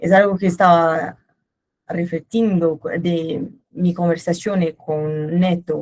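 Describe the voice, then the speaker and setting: A woman speaks with a Brazilian accent in a fairly low pitch. Her pace is very slow and her intonation fairly even. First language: Portuguese (speaking Spanish). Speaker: company manager. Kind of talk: webinar presentation. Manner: hesitant, with filler sounds.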